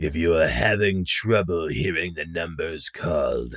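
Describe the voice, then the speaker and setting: Over a very clean recording with a silent background, a man uses a put-on character voice that is raspy and menacing in tone, very deep and low in pitch, at a fairly slow pace. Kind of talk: stern, rule-enforcing. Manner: menacing, whispering.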